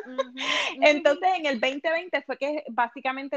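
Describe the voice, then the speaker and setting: The sound is dry and close with no echo as a woman talks at a moderate pace. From Puerto Rico. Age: 30s. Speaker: weight loss coach. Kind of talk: casual interview.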